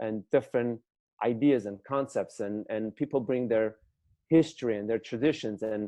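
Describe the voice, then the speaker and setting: A man in a non-native accent speaks at a moderate pace with ordinary pitch variation. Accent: foreign. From former Soviet Union. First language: not English (former USSR). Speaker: business attorney and entrepreneur. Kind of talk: interview conversation.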